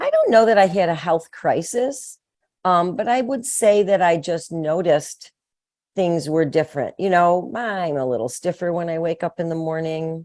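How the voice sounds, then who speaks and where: A woman's unremarkable speaking voice, fairly low in pitch, at a moderate pace with lively intonation, on a very clean recording with a silent background. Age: 60s. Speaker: midlife strength trainer. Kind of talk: interview. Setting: podcast interview.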